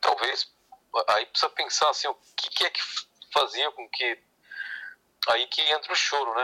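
A man at a moderate pace with long, frequent pauses, in a dry, close sound with no echo. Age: 60s. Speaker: clarinetist and saxophonist. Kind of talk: interview.

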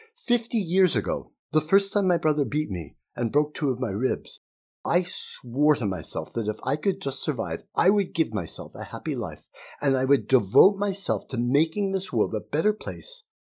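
A man with an American accent speaks at a moderate pace in a dark, mellow tone, fairly high in pitch, with very wide pitch swings. The recording is very clean, with a silent background. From Utah. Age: 60s. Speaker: podcaster and LGBTQ+ activist speaker. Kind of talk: speech read aloud to students. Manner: earnest, emphatic.

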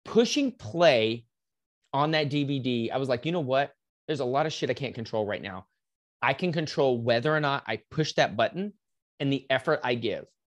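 A man's fairly high voice in a Texan accent at a moderate pace, ordinary pitch variation, and a quiet background. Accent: Texan American. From West Texas, Lubbock. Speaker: fitness coach. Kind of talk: interview storytelling. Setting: remote call.

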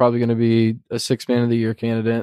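A man's normal speaking voice at medium pitch and a fairly quick pace, dry and close with no echo. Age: 20s. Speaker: basketball podcast co-host. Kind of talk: casual chat.

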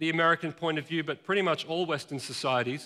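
A man with an Australian accent talks at a fairly quick pace in a bright, sharp tone with ordinary pitch variation. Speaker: pastor. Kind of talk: sermon. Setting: church.

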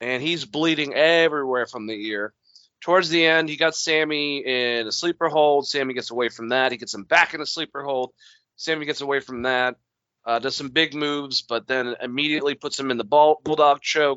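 A man's plain, everyday voice, fairly high-pitched, with fairly even intonation and a fairly quick pace. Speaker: podcast host. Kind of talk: casual chat. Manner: casual, joking.

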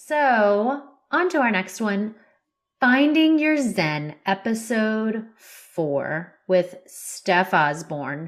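A woman with a fairly high pitch, very even loudness and a very slow pace, on a very clean recording with a silent background. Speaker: podcast co-host. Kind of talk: casual chat. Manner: deadpan, comes across as serious.

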